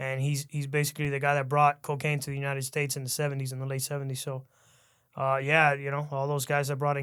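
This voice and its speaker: Over a very clean recording with a silent background, a man with a Spanish accent and fairly high pitch talks at a very fast pace in a flat monotone. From Miami, Cuban-American. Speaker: author and podcaster. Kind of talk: casual interview chat.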